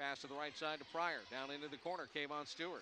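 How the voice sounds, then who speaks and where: Delivered in an energetic tone, the voice comes through dry with no echo against light background noise. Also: man. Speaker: basketball radio commentator. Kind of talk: live play-by-play sports commentary. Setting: game broadcast, highlights reel. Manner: rapid-fire, fluent, energetic play-by-play delivery. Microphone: headset.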